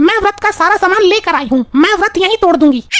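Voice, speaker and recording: A woman performs a cartoonish character voice at an extremely high pitch with lively intonation. Her pace is fairly quick, her loudness very even, and the sound dry and close with no echo. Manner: sweet-talking.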